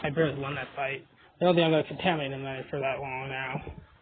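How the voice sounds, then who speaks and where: Over noticeable background noise, speech rushes by at a very fast pace with ordinary pitch variation. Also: man. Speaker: mobile game video creator. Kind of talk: gameplay commentary. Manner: animated.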